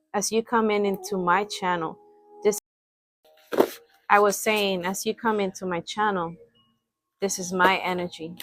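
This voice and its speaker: With a non-native accent, the speaker keeps a monotone, flat intonation at a moderate pace. Long, frequent pauses break up the dry, close sound with no echo. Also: woman, medium pitch for a woman. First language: not English. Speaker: spiritual reader, channel owner. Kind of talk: spiritual reading / vlog address. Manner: halting, self-correcting; assertive.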